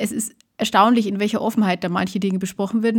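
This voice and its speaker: Talking at a very fast pace, a woman sounds somewhat breathy, with fairly even intonation. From Lower Bavaria. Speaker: podcast co-host. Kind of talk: casual chat.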